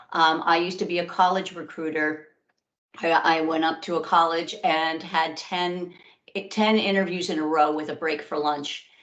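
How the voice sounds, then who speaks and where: Monotone, flat delivery at a moderate pace in an American accent, with audible room echo. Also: woman, fairly low pitch for a woman. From New York. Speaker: career workshop presenter. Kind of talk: webinar presentation.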